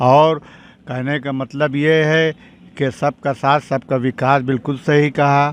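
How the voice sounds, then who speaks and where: This man's pitch is fairly high. His intonation comes out monotone and flat. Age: 70s. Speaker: local resident interviewed on the street. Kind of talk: street interview.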